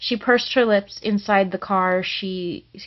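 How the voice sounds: The words are read in a natural reading voice.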